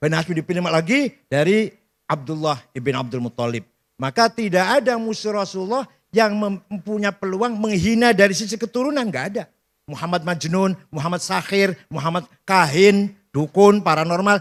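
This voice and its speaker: A man's high-pitched voice with lively intonation. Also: moderate pace. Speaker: Islamic scholar giving a lecture. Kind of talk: lecture / religious talk to an audience. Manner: casual, humorous, storytelling.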